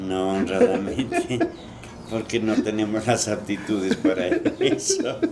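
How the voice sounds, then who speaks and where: A man speaks at a fairly slow pace. Noticeable background noise runs underneath. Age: 70s. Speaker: former sacristan's assistant. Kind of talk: interview. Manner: halting.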